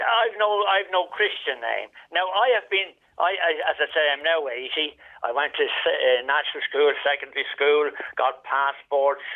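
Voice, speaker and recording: A man with a Dublin accent, high in pitch, at a moderate pace and with lively intonation. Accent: Irish (Dublin). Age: 80s+. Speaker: caller. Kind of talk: phone-in radio interview. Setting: phone call. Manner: halting.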